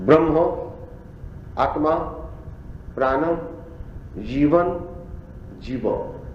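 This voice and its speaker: Long, frequent pauses break up a man's very slow speech, heard with audible room echo and noticeable background noise. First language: Bengali. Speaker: spiritual teacher. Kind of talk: religious discourse to audience. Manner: halting.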